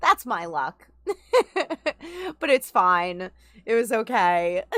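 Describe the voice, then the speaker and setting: A woman with a New York accent at a fairly slow pace, in a very clean recording with a silent background. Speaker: gaming streamer. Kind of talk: casual live-stream chat.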